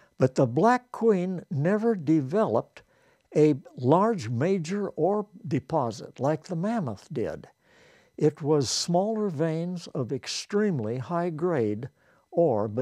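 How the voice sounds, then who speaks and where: Against a quiet background, a man with a dark, mellow tone speaks at a very slow pace, his pitch swinging very widely. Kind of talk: interview answer. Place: home room.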